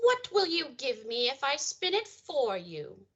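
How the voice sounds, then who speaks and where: Using a put-on character voice, a woman speaks at a high pitch with very wide pitch swings. Her pace is fairly slow. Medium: stage play. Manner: sly, bargaining.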